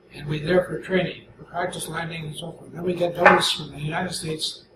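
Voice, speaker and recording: Over noticeable background noise, a man with a high pitch talks at a fairly quick pace in a monotone, flat intonation. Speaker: war veteran. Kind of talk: interview answer.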